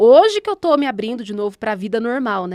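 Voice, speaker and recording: A woman with a São Paulo interior accent at a fairly quick pace. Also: dry, close sound with no echo, very clean recording, silent background. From Brazil, São Paulo state interior (Guararema). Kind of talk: personal testimony in casual podcast chat.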